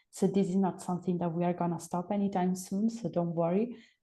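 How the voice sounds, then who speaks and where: With an Italian accent, the speaker talks at a fairly quick pace in a somewhat breathy voice with monotone, flat intonation. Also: woman. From Italy. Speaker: program coordinator. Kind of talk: webinar Q&A.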